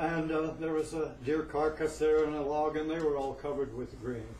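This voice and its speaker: A fairly high-pitched man with an American accent at a moderate pace, with noticeable background noise and audible room echo. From Northern California (Humboldt County). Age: 70s. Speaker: open mic performer, storyteller. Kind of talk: open mic storytelling. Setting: cafe stage with audience.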